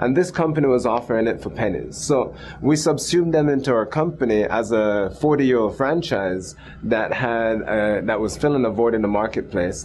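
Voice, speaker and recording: Noticeable background noise sits behind a man at medium pitch. He speaks at a moderate pace with lively intonation. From Jamaica. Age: 30s. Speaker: entrepreneur. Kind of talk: interview.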